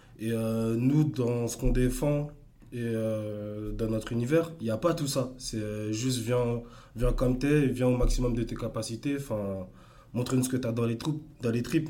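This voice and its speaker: Audible room echo surrounds a man speaking fairly slowly at a medium pitch with fairly even intonation. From Paris suburbs, France. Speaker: electro dancer and entrepreneur. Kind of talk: casual interview. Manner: halting, many repetitions.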